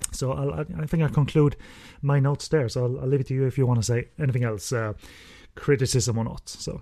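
Very fast talk from a man with a dark, mellow tone against a quiet background. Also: medium pitch for a man, ordinary pitch variation. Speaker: podcast host. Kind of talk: casual review chat. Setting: remote recording with guest on internet connection. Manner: halting, filler-heavy.

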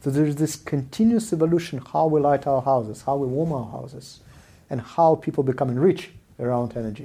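Over a silent background in a very clean recording, a man talks at a fairly quick pace with a fairly high pitch. His tone is dark and mellow, with ordinary pitch variation. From Israel and South Africa, born in Soviet Union. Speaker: venture capital investor. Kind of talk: casual interview chat. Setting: in-person recording.

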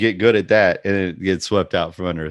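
Fairly quick pace with fairly even intonation. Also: man, low pitch for a man.

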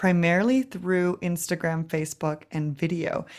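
This is an ordinary speaking voice with a Canadian accent. The pitch variation is ordinary. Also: woman, very clean recording, silent background. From Canada, Vancouver. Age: 30s. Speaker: social media coach. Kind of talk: interview.

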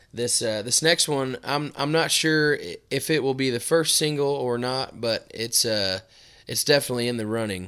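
In a very clean recording with a silent background, a man talks at a moderate pace in a bright, sharp tone with ordinary pitch variation. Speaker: country singer. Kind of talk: casual chat. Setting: studio.

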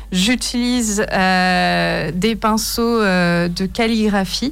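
A woman's medium-pitched voice with ordinary pitch variation, plus audible room echo. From Paris region, France. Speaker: painter. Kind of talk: radio interview. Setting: radio studio.

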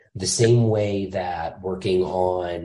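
A man with a very deep, low pitch and a dark, mellow tone sounds somewhat breathy, with audible room echo around him. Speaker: firearms industry employee. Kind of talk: casual interview.

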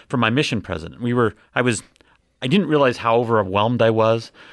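With an American accent, a man speaks in a normal speaking voice at a medium pitch. He moves at a fairly quick pace over a quiet background. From Ogden, Utah. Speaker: podcast guest, longtime listener. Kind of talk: casual chat; news reading.

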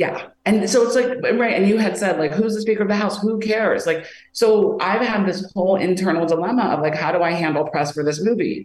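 A plain, everyday voice with an American accent speaks at a fairly quick pace, with hardly any pauses. Its pitch rises and falls an ordinary amount. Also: woman, medium pitch for a woman. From US Midwest. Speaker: filmmaker. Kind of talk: casual chat.

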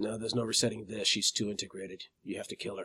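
Using a put-on character voice, a man talks at a very fast pace with a raspy, fairly low pitch. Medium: actual play. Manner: terse, measured, cryptic.

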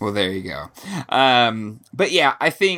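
In a very clean recording with a silent background, a man with a medium pitch and a bright, sharp tone speaks at a fairly slow pace. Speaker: podcast host. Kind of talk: casual chat.

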